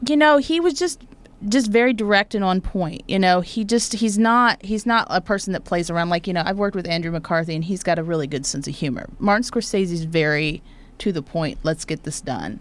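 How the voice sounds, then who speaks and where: At a fairly quick pace, a woman of medium pitch speaks with lively intonation. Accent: Oklahoma. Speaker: actor and talk show host. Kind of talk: interview. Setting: studio.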